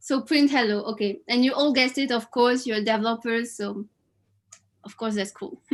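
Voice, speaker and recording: A woman in a French accent speaks with big swings in loudness. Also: ordinary pitch variation, moderate pace. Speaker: quiz host at online event. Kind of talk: live quiz hosting. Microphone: webcam.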